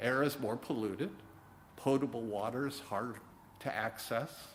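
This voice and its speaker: This man has a medium pitch and talks at a fairly slow pace. Audible room echo surrounds his voice. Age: 60s. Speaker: minister. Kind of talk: sermon. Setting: church.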